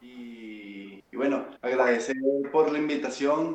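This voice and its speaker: A man is speaking. His pace is very slow. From Venezuela. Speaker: bass player. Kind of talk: casual chat.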